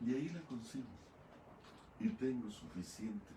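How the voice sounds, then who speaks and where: A man speaks fairly slowly in a dark, mellow tone that is somewhat breathy, with audible room echo. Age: 70s. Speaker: pastor. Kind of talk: sermon.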